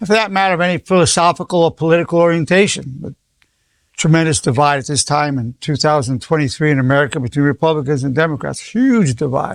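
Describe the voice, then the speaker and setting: A man with a fairly high voice talks very fast, his pitch moving in an ordinary way, on a very clean recording with a silent background and a dry, close sound with no echo. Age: 80s+. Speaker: clinical psychologist. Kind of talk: inspirational lecture.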